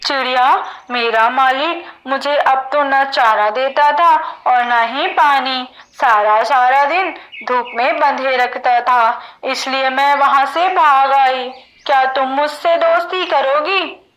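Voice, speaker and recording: A cartoonish character voice, female-sounding and high in pitch. It moves at a fairly slow pace. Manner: sorrowful, complaining.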